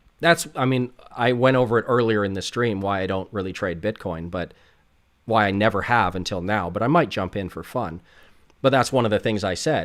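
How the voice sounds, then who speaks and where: Here is a man with an unremarkable speaking voice and a fairly low pitch. He talks at a moderate pace with lively intonation, on a very clean recording with a silent background. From Canada. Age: 40s. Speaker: options trader. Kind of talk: livestream Q&A. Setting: livestream. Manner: casual, filler-heavy.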